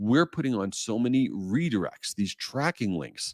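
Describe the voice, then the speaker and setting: In an animated tone, a man speaks at a fairly low pitch with very wide pitch swings, the sound dry and close with no echo on a very clean recording with a silent background. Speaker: marketing podcast host. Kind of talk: solo podcast tips monologue. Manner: fast.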